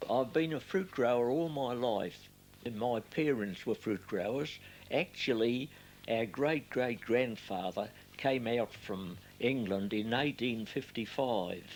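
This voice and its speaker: A man speaks at a very slow pace in an Australian accent. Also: medium pitch for a man, ordinary pitch variation. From Australia, Melbourne area. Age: 90s. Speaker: retired fruit grower. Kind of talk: oral history interview.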